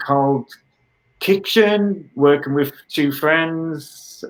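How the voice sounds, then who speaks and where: Here a man speaks with a British accent. His pace is very slow. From northern England, Middlesbrough. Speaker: artist. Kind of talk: interview.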